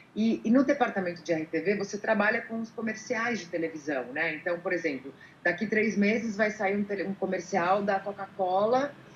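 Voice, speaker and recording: Noticeable background noise sits under talking delivered at a moderate pace. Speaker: voice-over artist and former sports presenter. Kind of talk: interview.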